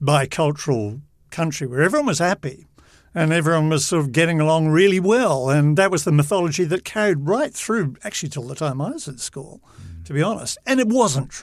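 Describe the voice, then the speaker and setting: In a very clean recording with a silent background, a man speaks with a New Zealand accent. His pitch is fairly high and his pace fairly quick. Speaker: veteran TV journalist. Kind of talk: casual interview. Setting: studio. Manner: animated.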